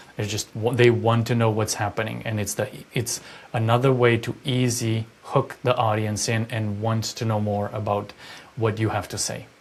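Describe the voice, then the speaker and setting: A somewhat breathy man's voice at medium pitch, flat and monotone in intonation. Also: moderate pace. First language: not English. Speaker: public speaker. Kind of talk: podcast discussion.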